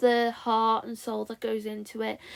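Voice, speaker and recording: A woman's voice comes through on a very clean recording, the background silent. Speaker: stop-motion animation fan and reviewer. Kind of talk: book review voiceover. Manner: awkward, repetitive.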